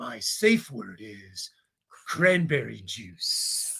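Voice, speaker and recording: In a fairly high put-on character voice, a man talks very slowly. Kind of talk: dramatic, announcer-like.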